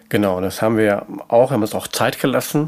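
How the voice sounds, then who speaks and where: A man's fairly low-pitched voice moves at a fairly quick pace amid noticeable background noise. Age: 50s. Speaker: stepfather in a patchwork family. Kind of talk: interview.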